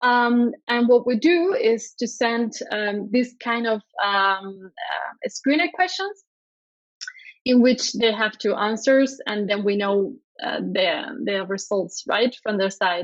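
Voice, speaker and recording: A woman in a Spanish accent, fairly high-pitched, very slow, with ordinary pitch variation. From Spain. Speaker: product designer. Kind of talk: conference talk. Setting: conference stage, streamed online. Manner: hesitant, many fillers.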